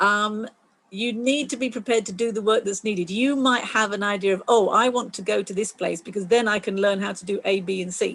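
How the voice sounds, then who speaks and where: Using a normal speaking voice, a woman at medium pitch talks at a fairly quick pace with fairly even intonation. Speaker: STEM volunteer coordinator at a planetarium. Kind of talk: online community call presentation.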